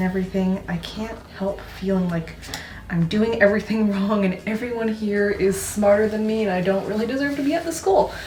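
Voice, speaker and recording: Amid noticeable background noise and audible room echo, a woman speaks at a moderate pace with a medium pitch and ordinary pitch variation. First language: Mandarin Chinese. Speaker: student youtuber. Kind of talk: casual vlog q&a. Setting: dorm bathroom. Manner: casual, filler-heavy.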